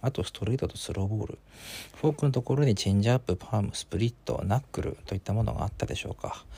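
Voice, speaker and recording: A man speaks at a very fast pace in a dark, mellow, somewhat breathy tone with ordinary pitch variation, on a very clean recording with a silent background. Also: medium pitch for a man. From Hokkaido, Japan. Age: 30s. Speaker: podcast host. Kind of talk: casual monologue.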